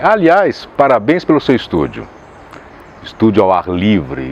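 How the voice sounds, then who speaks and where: A man keeps his loudness very even at a moderate pace, with noticeable background noise behind him. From Caxias do Sul, southern Brazil. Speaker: voice actor. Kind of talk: interview answer.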